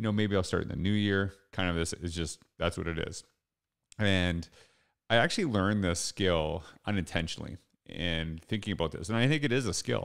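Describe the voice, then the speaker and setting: In a very clean recording with a silent background, a man with a very deep, low voice talks at a fairly quick pace with ordinary pitch variation. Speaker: educator and speaker. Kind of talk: motivational talk. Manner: casual, conversational.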